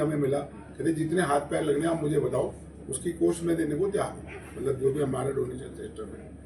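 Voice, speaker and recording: The voice moves at a moderate pace with fairly even intonation, and audible room echo surrounds it. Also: man. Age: 70s. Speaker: charity volunteer. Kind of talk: press conference.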